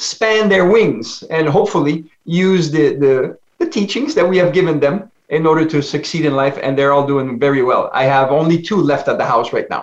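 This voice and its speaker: A man with a French Canadian accent talks at a moderate pace and a fairly high pitch. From French Canada. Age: 60s. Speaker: life coach. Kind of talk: interview.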